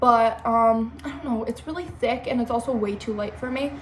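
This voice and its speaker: Noticeable background noise and audible room echo around a moderate pace and ordinary pitch variation. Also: woman. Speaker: beauty vlogger. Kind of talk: makeup tutorial. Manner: casual, filler-heavy.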